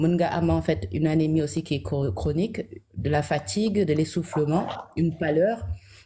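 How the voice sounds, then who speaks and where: A woman's very deep, low-pitched voice with a dark, mellow tone, vocal fry, very wide pitch swings, very even loudness and a moderate pace. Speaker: health guest. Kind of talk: educational talk.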